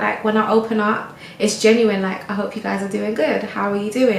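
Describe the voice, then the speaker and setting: A woman's medium-pitched voice at a fairly quick pace with fairly even intonation, amid audible room echo and noticeable background noise. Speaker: lifestyle vlogger. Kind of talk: casual chat monologue. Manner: stumbling over words; relaxed.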